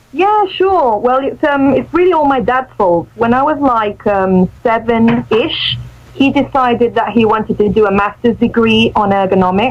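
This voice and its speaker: A woman's fairly high voice at a moderate pace, with lively intonation, very even loudness, hardly any pauses, and noticeable background noise. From Mexico, partly raised in English Midlands. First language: Spanish. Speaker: radio presenter and English teacher. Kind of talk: radio interview.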